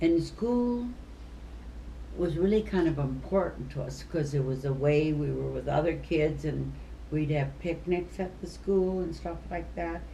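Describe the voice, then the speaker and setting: With an Upper Midwest accent, a woman speaks at a fairly slow pace amid audible room echo. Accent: Upper Midwest American. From US Midwest. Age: 80s+. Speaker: retired teacher. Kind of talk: casual chat.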